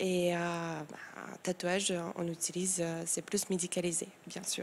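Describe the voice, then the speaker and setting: A woman's fairly low voice in a Moldovan accent, monotone and flat, at a fairly slow pace. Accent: foreign accent, Moldovan. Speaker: tattoo artist and engraver. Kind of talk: TV interview. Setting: TV studio set. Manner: halting, many hesitations.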